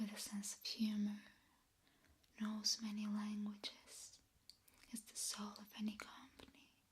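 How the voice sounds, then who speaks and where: A soft-spoken woman whispers in a somewhat breathy voice at a fairly slow pace, with long, frequent pauses. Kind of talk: ASMR whispered talk about horror movies. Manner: whispered, soft-spoken.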